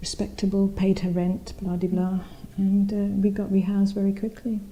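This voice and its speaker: Amid noticeable background noise, the speaker talks at a moderate pace in a monotone, flat intonation. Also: woman, medium pitch for a woman. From East London (Spitalfields), moved from India aged four. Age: 60s. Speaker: oral history interviewee. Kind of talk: oral history interview. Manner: conversational, with frequent repetitions and fillers.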